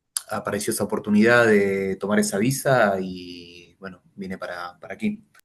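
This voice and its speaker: An unremarkable speaking voice from a man, fairly low-pitched and moderately paced. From Argentina. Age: 30s. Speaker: interview guest, working holiday visa holder. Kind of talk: casual interview.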